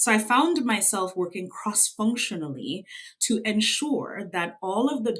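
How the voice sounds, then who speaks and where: A woman with a slight Trinidadian accent speaks at a fairly slow pace in a fairly high pitch. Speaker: revenue consultant. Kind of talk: interview.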